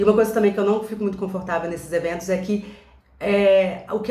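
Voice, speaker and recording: A woman speaks at a very fast pace and medium pitch with ordinary pitch variation. The recording has audible room echo and noticeable background noise. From Brazil, Belo Horizonte (Minas Gerais). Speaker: enneagram coach. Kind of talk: casual vlog monologue. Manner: hesitant, many filler sounds.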